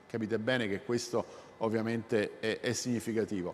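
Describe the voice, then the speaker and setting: A man speaks at a moderate pace. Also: very clean recording, silent background. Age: 60s. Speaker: robotics professor. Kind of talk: public lecture. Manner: halting, with self-corrections.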